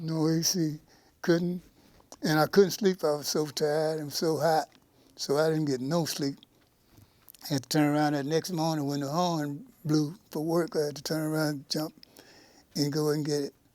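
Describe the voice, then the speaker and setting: Delivery is flat and monotone, broken by long, frequent pauses. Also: man, fairly high pitch for a man, moderate pace. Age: 70s. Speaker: former prisoner. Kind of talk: interview answer.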